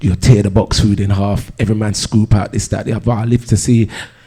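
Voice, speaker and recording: The voice is somewhat breathy and dark and mellow in tone, delivered with monotone, flat intonation. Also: man. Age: 50s. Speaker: DJ and music producer. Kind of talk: panel discussion.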